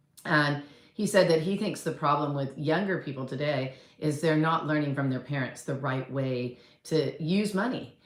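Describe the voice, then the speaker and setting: A woman speaks at a moderate pace in a very deep, low voice with ordinary pitch variation. Audible room echo surrounds her. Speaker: real estate coach and agent. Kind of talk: casual talk to camera. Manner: conversational, rambling with fillers.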